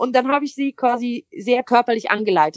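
An ordinary speaking voice at a moderate pace comes through in a dry, close sound with no echo against a quiet background. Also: woman. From Switzerland. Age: 20s. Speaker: poetry slammer and cabaret artist. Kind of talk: interview. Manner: casual.

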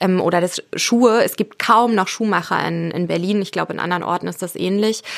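A woman with a medium pitch and a plain, everyday voice speaks at a fairly quick pace. Her intonation is fairly even, with hardly any pauses. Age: 30s. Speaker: journalist and author on sustainable fashion. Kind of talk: interview.

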